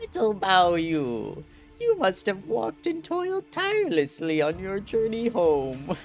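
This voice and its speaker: Clear music plays behind a put-on character voice of middle pitch that moves at a fairly slow pace. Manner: warm, grandmotherly.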